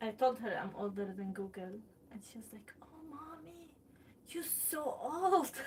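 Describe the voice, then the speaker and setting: Over noticeable background noise, a woman speaks at a fairly slow pace in a high pitch, with very wide pitch swings and big swings in loudness. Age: 30s. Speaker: pottery and craft livestreamer. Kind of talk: casual livestream chat. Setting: home livestream.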